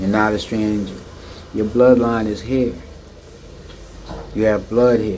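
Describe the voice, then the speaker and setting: A man speaks with an American accent, with noticeable background noise and audible room echo. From United States. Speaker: video blogger and expat. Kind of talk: monologue commentary. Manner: halting, many fillers.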